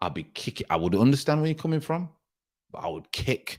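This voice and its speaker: Animated in tone, a man with a fairly high pitch speaks at a moderate pace, his voice making very wide pitch swings. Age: 40s. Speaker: former professional footballer, football show host. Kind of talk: live stream football talk.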